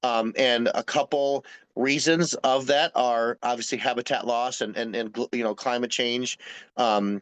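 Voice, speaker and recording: An ordinary speaking voice, a man's medium pitch and fairly even intonation come at a fairly slow pace, dry and close with no echo over a quiet background. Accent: American. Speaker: wildlife rehabilitation specialist. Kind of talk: presentation to a community group. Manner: filler-heavy, repeating words.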